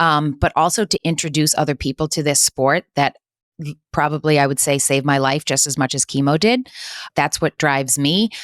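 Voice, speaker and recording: On a very clean recording with a silent background, a woman with a very deep, low pitch speaks with ordinary pitch variation and a dry, close sound with no echo. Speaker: nonprofit co-founder and cancer survivor. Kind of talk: interview. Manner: loud.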